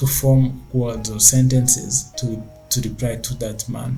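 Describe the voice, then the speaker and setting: Against music in the background, a man with a non-native accent speaks fairly slowly at a medium pitch in a monotone, flat way. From Rwanda. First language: not English. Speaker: tech entrepreneur. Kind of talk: casual talk to camera.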